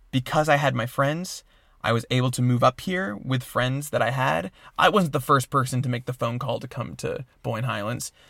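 A normal speaking voice from a man at a medium pitch, moderate pace and ordinary pitch variation. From New York. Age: 20s. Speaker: music teacher and housekeeper. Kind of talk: casual chat.

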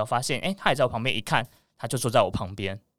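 A man talks at a very fast pace in a bright, sharp tone. The recording is very clean, with a silent background. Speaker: podcast guest, male BL fan. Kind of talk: casual chat. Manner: articulate.

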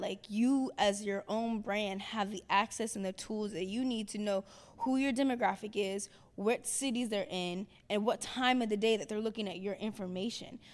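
A woman's medium-pitched, a normal speaking voice, with fairly even intonation at a moderate pace, on a very clean recording with a silent background. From Cincinnati, Ohio. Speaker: culture curator and poet. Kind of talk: panel discussion.

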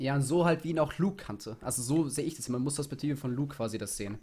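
A man rattles along at a very fast pace with a fairly high pitch and ordinary pitch variation. His voice is somewhat breathy. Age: young. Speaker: podcast co-host. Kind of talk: casual chat.

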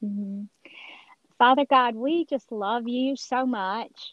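A woman with an American accent, high-pitched and very slow, in a dry, close sound with no echo. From Georgia, US South. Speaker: author and speaker. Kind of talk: interview, personal testimony.

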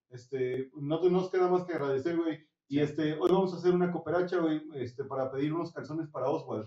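At a fairly quick pace, a man with a fairly high pitch keeps his intonation fairly even. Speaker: podcast host. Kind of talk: casual chat.

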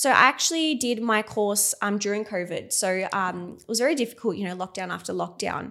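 With an Australian accent, a woman speaks at a fairly quick pace with hardly any pauses, her tone bright and sharp and her medium pitch showing ordinary variation. The recording is very clean, with a silent background. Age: 20s. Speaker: nurse and cosmetic injector, clinic owner. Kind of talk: casual interview chat.

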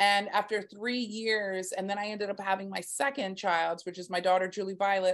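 Over a quiet background, a woman with an American accent talks at a moderate pace and medium pitch in a monotone, flat intonation. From Texas. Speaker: marketing and PR agency founder. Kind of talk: interview conversation.

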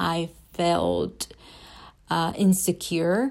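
This is a woman speaking with a Spanish accent. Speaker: student. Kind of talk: class assignment podcast, reading prepared remarks. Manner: hesitant, with frequent fillers.

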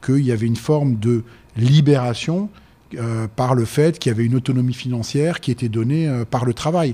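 This man has a medium-pitched, dark, mellow tone and talks at a fairly quick pace with ordinary pitch variation. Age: 60s. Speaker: business owner, restaurant entrepreneur. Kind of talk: debate.

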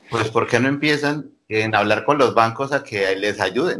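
A man with a normal speaking voice, medium in pitch, with ordinary pitch variation. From Colombia, Bucaramanga. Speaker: webcam studio owner. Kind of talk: casual interview.

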